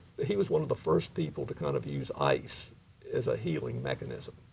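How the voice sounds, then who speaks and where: Moderate-paced speech from a man, set against noticeable background noise. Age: 60s. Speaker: interviewee on sports injuries. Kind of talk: interview.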